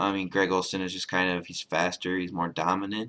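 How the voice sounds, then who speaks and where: In an American accent, the speaker's tone comes across bright and sharp. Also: man. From US Midwest, Chicago. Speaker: sports video blogger. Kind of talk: casual monologue. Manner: halting, many fillers.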